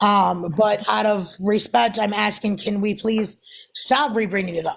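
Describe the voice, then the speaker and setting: Vocal fry runs through a woman's medium-pitched voice. She speaks at a moderate pace. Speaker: livestreamer. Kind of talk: heated debate. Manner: loud.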